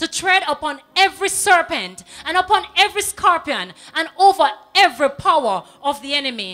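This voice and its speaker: A woman's raised, projected voice with a bright, sharp tone and very wide pitch swings. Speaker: TV presenter. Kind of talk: on-air greetings and prayer shout-outs. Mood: warm, devotional. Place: studio. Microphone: handheld.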